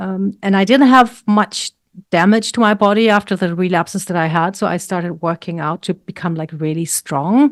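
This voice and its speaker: In a very clean recording with a silent background and a dry, close sound with no echo, a woman with a German accent speaks at a moderate pace. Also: medium pitch for a woman, ordinary pitch variation. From Germany. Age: 60s. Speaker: health coach and weightlifter. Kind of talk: interview.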